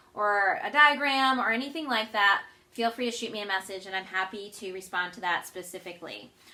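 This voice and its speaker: A woman talks at a very fast pace with lively intonation. Audible room echo surrounds her voice. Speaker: earth science teacher. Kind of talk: lecture.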